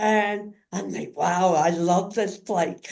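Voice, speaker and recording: Speaking at a fairly slow pace, a woman uses a normal speaking voice with fairly even intonation. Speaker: community advocate and caregiver in a wheelchair. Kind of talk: interview, personal story.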